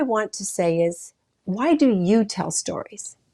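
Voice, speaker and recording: There is a normal speaking voice here from a woman with a medium pitch. Her intonation is lively. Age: 60s. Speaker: talk show host, professional model. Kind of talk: faith-based talk show monologue. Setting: studio.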